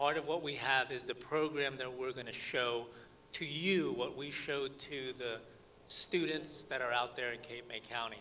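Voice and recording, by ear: A man at medium pitch with an American accent, bright and sharp in tone, at a moderate pace with fairly even intonation.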